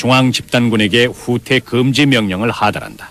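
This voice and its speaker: This man talks at a moderate pace. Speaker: documentary narrator. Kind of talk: documentary narration. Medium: dub.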